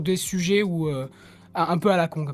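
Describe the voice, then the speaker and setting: Pitch varies in an ordinary way, and there is noticeable background noise. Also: man. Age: 20s. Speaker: podcast co-host and musician. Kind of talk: casual chat. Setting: online voice call.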